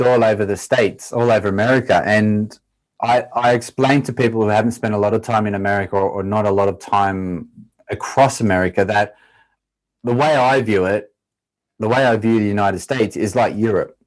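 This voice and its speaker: In an Australian accent, a man talks fairly quickly at medium pitch with ordinary pitch variation. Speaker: former pro footballer turned triathlete. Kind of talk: podcast interview.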